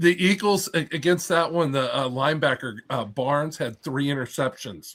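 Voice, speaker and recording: A man's normal speaking voice, a normal speaking voice at fairly high pitch, with ordinary pitch variation, moderate pace and big swings in loudness, on a very clean recording with a silent background. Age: 60s. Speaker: reptile breeder on podcast panel. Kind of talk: casual chat.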